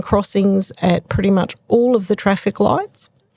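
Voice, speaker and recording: Speaking with an Australian accent at a moderate pace, a woman uses a medium pitch and ordinary pitch variation, recorded dry and close with no echo. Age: 60s. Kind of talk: casual interview chat.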